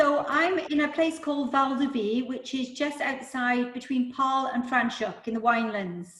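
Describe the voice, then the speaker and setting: A woman speaks with a Welsh accent at a moderate pace, her pitch high and its variation ordinary. There are hardly any pauses, with audible room echo and noticeable background noise. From Wales, Newport. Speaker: property management agency owner. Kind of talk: casual chat.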